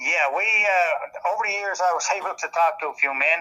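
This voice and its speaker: A man with a Newfoundland accent. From Newfoundland, Canada (Bell Island). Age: 70s. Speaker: local historian and tourism official. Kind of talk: storytelling interview.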